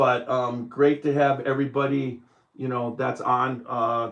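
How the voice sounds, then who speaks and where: A plain, everyday voice from a man, medium in pitch, at a moderate pace with fairly even intonation. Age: 60s. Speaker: bourbon podcast host. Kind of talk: casual chat. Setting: live stream.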